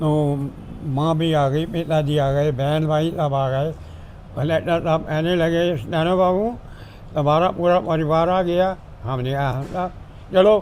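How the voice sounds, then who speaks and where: There is audible room echo around a man speaking in a fairly high pitch. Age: 90s. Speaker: retired government clerk. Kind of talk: family interview.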